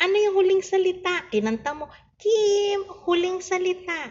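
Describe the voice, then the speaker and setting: Speaking very slowly, a woman uses an extremely high pitch. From Philippines. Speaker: online seller live streamer. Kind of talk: casual live stream with viewer games. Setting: live stream on phone. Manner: soft-spoken, near whisper; animated. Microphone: phone near.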